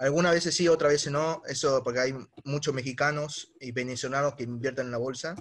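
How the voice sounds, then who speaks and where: A man's normal speaking voice, fairly high in pitch, at a fairly quick pace with fairly even intonation. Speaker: young investor caller. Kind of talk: casual conversation.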